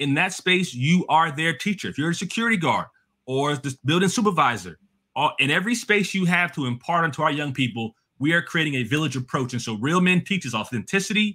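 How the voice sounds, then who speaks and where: With a New Jersey accent, the speaker talks at a fairly quick pace in an animated tone with lively intonation. The background is quiet. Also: man. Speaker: education policy expert, adjunct professor. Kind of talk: interview. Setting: video call. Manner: fast talker. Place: home room.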